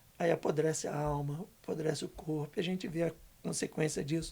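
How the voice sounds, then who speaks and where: The man's tone is dark and mellow. His pace is moderate. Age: 60s. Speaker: guest speaker, community worker. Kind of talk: casual podcast interview. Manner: animated.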